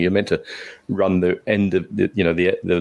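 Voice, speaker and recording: Speaking at a fairly quick pace with a British accent, a man is heard against a quiet background. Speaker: podcast co-host. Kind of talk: casual chat.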